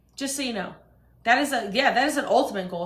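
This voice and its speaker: An animated woman speaks with lively intonation. Noticeable background noise and audible room echo fill the recording. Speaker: livestreamer. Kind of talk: heated rant on livestream. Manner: loud.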